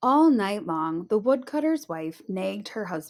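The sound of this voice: An unforced reading voice carries this clip.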